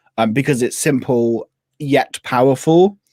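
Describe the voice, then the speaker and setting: In a West Country accent, a man talks at a moderate pace with lively intonation, the sound dry and close with no echo on a very clean recording over a silent background. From England, Devon. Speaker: business coach and productivity creator. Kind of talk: casual chat. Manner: animated.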